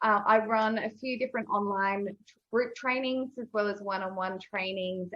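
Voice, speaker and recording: Ordinary pitch variation in an Australian accent. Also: woman. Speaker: video and confidence coach. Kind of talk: casual interview chat. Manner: energetic.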